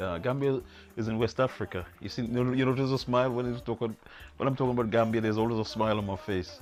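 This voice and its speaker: Over background music, a man speaks at a very fast pace in a medium pitch, with ordinary pitch variation. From Trinidad. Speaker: poet, producer, voice-over artist. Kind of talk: interview answer.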